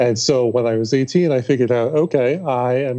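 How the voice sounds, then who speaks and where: Against a quiet background, a man with a dark, mellow tone talks at a fairly slow pace with fairly even intonation. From New York City. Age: 30s. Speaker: author and public speaker; public speaker. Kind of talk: casual interview chat. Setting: remote call. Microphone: video call.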